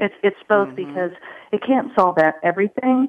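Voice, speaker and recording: Here a woman with a normal speaking voice talks at a fairly quick pace, her intonation lively. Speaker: HR technology panelist. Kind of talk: panel discussion.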